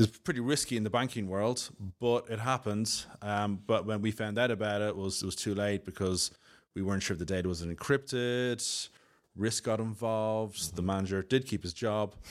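Someone with a Dublin accent speaks at a moderate pace with fairly even intonation on a very clean recording with a silent background. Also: man, fairly low pitch for a man. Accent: Irish (Dublin). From Dublin, Ireland. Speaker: solutions architect, IT expert. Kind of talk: casual interview.

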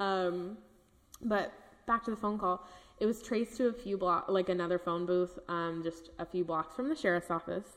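In a Californian accent, a woman speaks at a moderate pace and medium pitch with ordinary pitch variation. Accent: Californian American. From Northern California (Napa). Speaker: podcast co-host. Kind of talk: casual true-crime storytelling.

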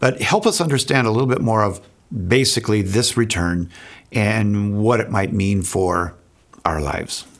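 With a normal speaking voice, a man speaks at a moderate pace, his pitch fairly low and its variation ordinary. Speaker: podcast host. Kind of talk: casual conversation with sponsor read and intro.

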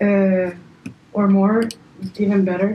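A woman at a very slow pace. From Paraguay. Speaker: music producer and DJ. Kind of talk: casual chat.

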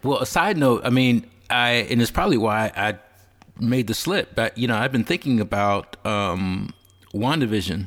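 A man with a plain, everyday voice and a medium pitch speaks at a moderate pace, with ordinary pitch variation and very even loudness. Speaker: podcast co-host. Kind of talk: casual chat about movies and TV.

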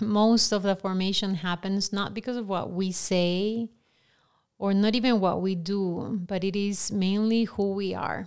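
A woman talks at a medium pitch in a Peruvian accent. Her pace is fairly slow and her intonation monotone and flat. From Peru, Lima. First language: Spanish. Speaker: director of formation at a ministry. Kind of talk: podcast interview.

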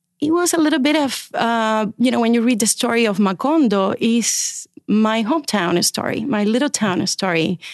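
A woman's fairly high voice with a Spanish accent against a quiet background. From Cuba. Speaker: children's book editor. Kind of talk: casual interview. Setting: studio.

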